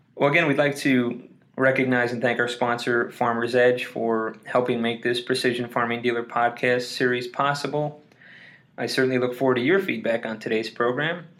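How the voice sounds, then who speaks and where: A man speaks with an ordinary speaking voice at a medium pitch. His pace is moderate and his intonation fairly even. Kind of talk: scripted narration.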